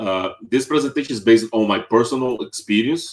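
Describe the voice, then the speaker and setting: Someone with a Brazilian Portuguese accent speaks at a moderate pace. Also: man. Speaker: web developer. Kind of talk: tech talk. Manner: halting, many fillers.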